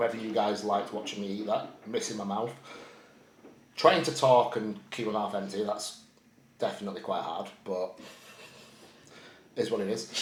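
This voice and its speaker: In a Yorkshire accent, a man with a fairly low pitch talks at a moderate pace with fairly even intonation and long, frequent pauses. Noticeable background noise and audible room echo surround his voice. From Yorkshire, northern England. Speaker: bodybuilder and prep coach vlogger. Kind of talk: casual chat. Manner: casual, swearing, rambling.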